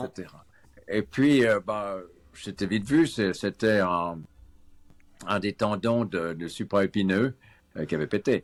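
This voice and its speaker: A man at a very slow pace with long, frequent pauses and ordinary pitch variation, in a dry, close sound with no echo. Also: fairly low pitch for a man. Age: 70s. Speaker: street workout athlete. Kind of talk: interview answer.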